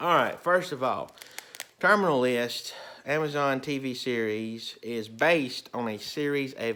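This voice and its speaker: Loud and bright with a sharp tone, a man talks at a medium pitch with ordinary pitch variation. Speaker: movie and TV reviewer. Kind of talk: casual video review.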